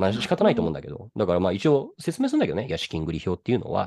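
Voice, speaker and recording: A man at a very fast pace. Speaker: venture capitalist podcast co-host. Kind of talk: casual chat.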